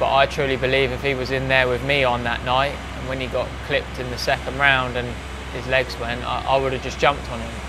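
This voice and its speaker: A man at a fairly quick clip, noticeable background noise behind him. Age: 20s. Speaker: professional boxer. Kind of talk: interview.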